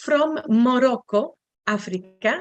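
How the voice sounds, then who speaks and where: A woman speaks very slowly in a high voice with lively intonation, with music playing in the background. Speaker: seminar moderator. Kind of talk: online panel moderation. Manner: halting.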